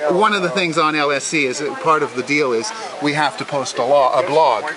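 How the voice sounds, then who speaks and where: A man with a fairly high voice talks at a fairly quick pace over noticeable background noise. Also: ordinary pitch variation. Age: 60s. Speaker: model railway hobbyist. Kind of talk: casual interview.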